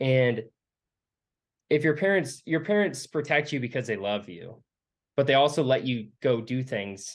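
An ordinary speaking voice with ordinary pitch variation comes through over a quiet background. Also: man. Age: 20s. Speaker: urban explorer and photographer. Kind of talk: casual interview.

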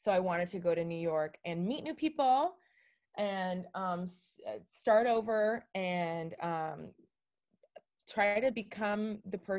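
A woman with an American accent and medium pitch has an unremarkable speaking voice with lively intonation. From Miami, Florida. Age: 30s. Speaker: social media creator. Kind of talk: casual interview chat.

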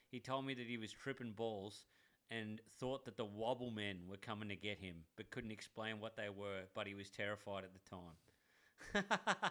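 Fairly low male voice with a bright, sharp tone and an Australian accent, fairly even intonation and a moderate pace. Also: very clean recording, silent background. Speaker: podcast co-host, tradie. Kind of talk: casual chat.

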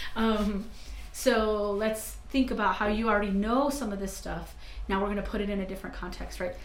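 A woman speaks fairly quickly in a New Mexican accent at a medium pitch. Her intonation is fairly even, and there is noticeable background noise. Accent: New Mexican American English. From northern New Mexico (Santa Fe). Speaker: university staff trainer. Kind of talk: casual interview.

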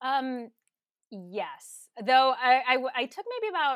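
The recording is dry and close, with no echo. A woman talks using ordinary pitch variation. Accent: Californian. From Southern California, Los Angeles County. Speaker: government attorney. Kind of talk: interview.

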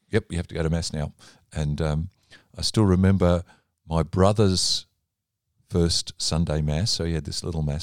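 A man with an Australian accent speaks at a fairly quick pace in a very deep, low pitch with fairly even intonation. The recording is very clean with a silent background and a dry, close sound with no echo. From Australia, Melbourne. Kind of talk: casual interview.

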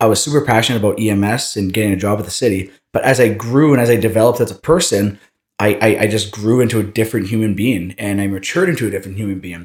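A man with a fairly low pitch and a Canadian Prairies accent talks at a very fast pace with hardly any pauses, sounding somewhat breathy. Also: ordinary pitch variation. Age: 30s. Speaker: entrepreneur and running coach. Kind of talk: interview. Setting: studio, in person.

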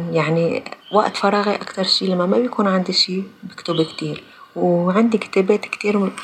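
A woman talks with ordinary pitch variation while noticeable background noise carries on behind her. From Lebanon, Palestinian refugee community from Jaffa. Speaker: former administrator and writer. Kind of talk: personal testimony in interview.

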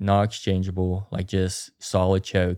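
A man's very deep, low voice with an Appalachian accent, dark and mellow in tone, at a fairly slow pace, dry and close with no echo on a very clean recording with a silent background. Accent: Appalachian American. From West Virginia, Grafton. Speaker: grouse hunter. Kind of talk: casual chat.

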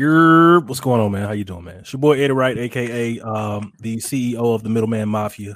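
A man with a Mississippi accent talks at a moderate pace and medium pitch, with ordinary pitch variation and hardly any pauses. His loudness swings widely. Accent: Southern US, Mississippi. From Mississippi, US South. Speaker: barbecue pitmaster and content creator. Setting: live video stream. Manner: confident, playful.

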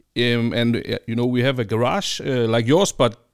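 A man with a Danish accent at medium pitch and a moderate pace, on a very clean recording with a silent background. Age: 40s. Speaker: podcast host. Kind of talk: interview. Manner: halting.

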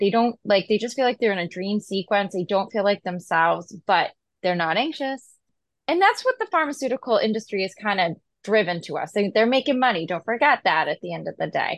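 A woman with an American accent has an ordinary speaking voice at a medium pitch, talking at a fairly quick pace with lively intonation in a dry, close sound with no echo. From Massachusetts, US. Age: 40s. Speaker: pharmacist. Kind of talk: casual interview.

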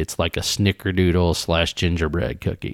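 A man speaks in a very deep, low pitch with a Southern Indiana accent. The recording is very clean, with a silent background. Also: dry, close sound with no echo. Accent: Southern Indiana twang. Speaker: podcast host, whiskey reviewer. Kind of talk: casual tasting chat.

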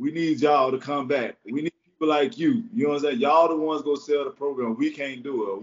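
The man speaks at a very fast pace. His pitch is fairly high, with ordinary pitch variation. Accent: Florida. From Jacksonville, Florida. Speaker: former college and pro football defensive back, media personality. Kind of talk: casual interview chat; pep talk. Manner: animated, repetitive, hype-driven.

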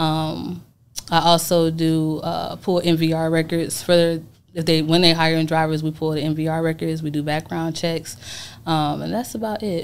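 A woman with a very deep, low pitch speaks at a moderate pace in a monotone, flat way. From Atlanta, Georgia. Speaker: truck dispatcher, former police officer. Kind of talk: interview.

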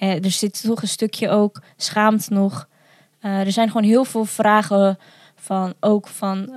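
A woman's medium-pitched voice, very slow and monotone with flat intonation, in a dry, close sound with no echo. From Netherlands, village on the Vecht. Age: 20s. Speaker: adoptee and video maker. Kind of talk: casual interview.

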